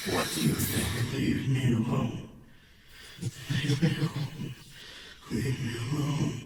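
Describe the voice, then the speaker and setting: A man does a put-on character voice at medium pitch and a fairly slow pace, with long, frequent pauses. Clear background noise and a slight echo are present. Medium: audio drama. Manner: irritated, dry.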